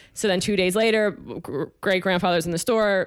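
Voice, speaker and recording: A woman talks at a very fast pace. Her pitch sits at a medium level. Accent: American. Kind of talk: casual chat. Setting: apartment.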